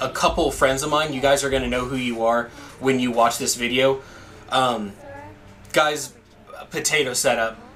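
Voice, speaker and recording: The speaker is a man with a medium pitch. Noticeable background noise and audible room echo fill the recording. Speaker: gaming YouTuber. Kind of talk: gameplay commentary. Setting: home recording setup. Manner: loud.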